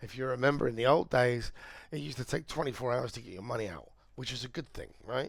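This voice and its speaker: A man with a British accent speaks at a fairly quick pace, his pitch medium with ordinary variation. The recording is very clean, with a silent background. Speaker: crypto trader and streamer. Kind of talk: live trading stream. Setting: livestream. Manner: casual, conversational.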